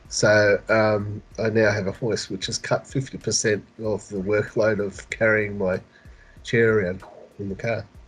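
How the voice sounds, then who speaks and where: Over music in the background, a man with an Australian accent speaks at a fairly slow pace with a fairly low pitch and monotone, flat intonation. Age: 50s. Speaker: community services worker with spina bifida. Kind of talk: interview. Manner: halting.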